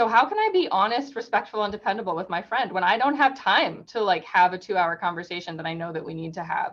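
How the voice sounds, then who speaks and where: A woman at medium pitch, very fast and with hardly any pauses, her intonation lively. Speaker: workshop presenter. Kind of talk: webinar presentation.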